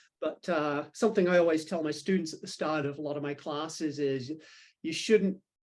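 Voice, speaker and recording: Over a quiet background, a man with a New Zealand accent speaks at a moderate pace, his fairly high pitch showing ordinary variation. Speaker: philosophy professor. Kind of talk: podcast interview.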